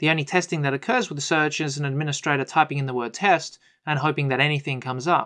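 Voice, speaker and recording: A man with an Australian accent speaks at a fairly quick pace against a quiet background. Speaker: IT consultant. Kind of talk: webinar presentation.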